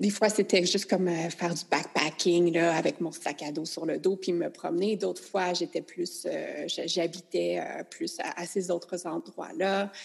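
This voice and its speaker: A woman with a fairly low voice talks at a fairly slow pace, barely pausing at all. Her intonation stays fairly even, and there is noticeable background noise. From rural Quebec. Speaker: nutritionist. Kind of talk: casual chat.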